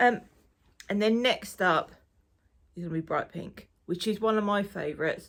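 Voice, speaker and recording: A woman with an Essex accent at medium pitch, with ordinary pitch variation, a moderate pace and long, frequent pauses. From Essex, England. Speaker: knitting podcaster and crafter. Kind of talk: casual chat. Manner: casual, with many fillers.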